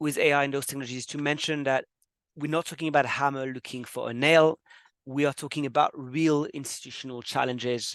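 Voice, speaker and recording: Speaking at a very fast pace, a man with a French accent uses fairly high pitch and monotone, flat intonation. The sound is dry and close with no echo, over a quiet background. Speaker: webinar host. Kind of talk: webinar presentation. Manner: hesitant, many fillers.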